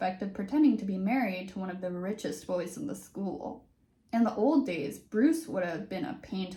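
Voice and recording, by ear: The voice reads aloud in a natural way. Its intonation is lively.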